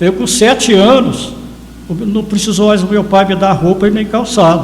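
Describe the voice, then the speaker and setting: A man speaks with a high pitch. Audible room echo and noticeable background noise surround him. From Brazil, Minas Gerais, Carmo do Paranaíba area. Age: 70s. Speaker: photographer and local historian. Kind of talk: interview storytelling.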